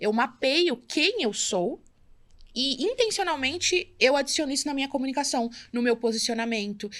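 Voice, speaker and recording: The recording is very clean, and the background is silent. A woman is the one talking. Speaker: entrepreneur, brand and community builder. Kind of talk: podcast interview. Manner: fast.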